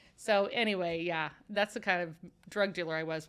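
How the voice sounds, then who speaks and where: A woman with a Midwestern American accent speaks at a medium pitch in an animated tone. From Kansas City area, Missouri. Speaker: ministry founder sharing redemption story. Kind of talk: testimony. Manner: loud.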